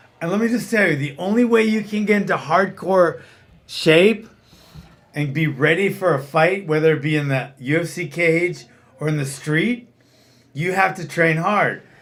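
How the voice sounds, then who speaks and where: A man's high-pitched voice at a moderate pace, with ordinary pitch variation and audible room echo. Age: 60s. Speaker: martial arts trainer and podcast host. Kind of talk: casual chat. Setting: studio round table. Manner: animated.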